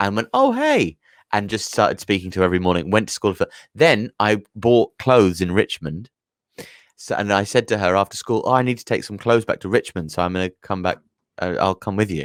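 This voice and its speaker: On a very clean recording with a silent background, a man with a London accent talks at a fairly quick pace in a fairly low pitch. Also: ordinary pitch variation. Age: 30s. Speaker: comedian. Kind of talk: casual chat. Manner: halting.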